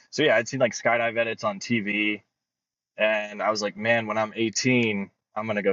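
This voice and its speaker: This man has an ordinary speaking voice with an American accent. His pitch is fairly low, and his pace is moderate. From Florida, near Tampa. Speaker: paraglider and speed flyer. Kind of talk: podcast interview. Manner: casual, many fillers.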